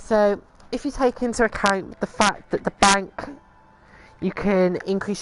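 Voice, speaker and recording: The speaker has a British accent. The delivery moves at a fairly slow pace. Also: woman. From Britain. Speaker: video game streamer. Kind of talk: gameplay tutorial commentary. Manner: casual, hesitant with fillers.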